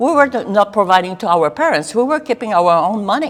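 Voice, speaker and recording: With a French Canadian accent, a woman of medium pitch talks at a fairly quick pace, her pitch swinging very widely. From Quebec. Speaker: political candidate. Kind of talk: interview. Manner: intense.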